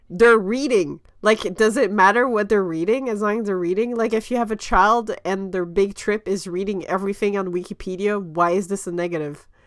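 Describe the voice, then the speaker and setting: A woman with a French accent, animated in tone, with ordinary pitch variation and hardly any pauses. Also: medium pitch for a woman, fairly quick pace. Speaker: webcomic creator, panelist. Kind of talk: casual panel discussion. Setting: livestream.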